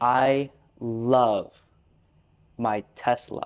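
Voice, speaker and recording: Medium in pitch, a man's voice comes with an American accent. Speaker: English teacher. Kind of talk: language lesson talk to camera. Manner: slow, simple.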